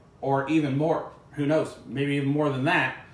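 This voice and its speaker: Audible room echo around a man's fairly high voice. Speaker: cooking show host, former cooking class teacher. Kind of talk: cooking tutorial. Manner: loud. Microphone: no microphone worn, echo.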